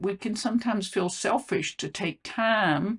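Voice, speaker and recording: A woman's voice with vocal fry and a Southern US accent. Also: quiet background. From US South. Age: 70s. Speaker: health coach and legal consultant. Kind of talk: casual vlog monologue. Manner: halting, with many fillers.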